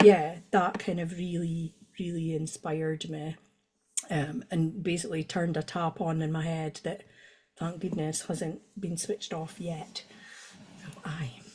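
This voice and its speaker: Somewhat breathy, with a dark, mellow tone, a woman speaks at a fairly slow pace and fairly low pitch with fairly even intonation. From Scotland, northeast (Doric-speaking). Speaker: poet. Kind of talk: casual interview chat. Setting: video call.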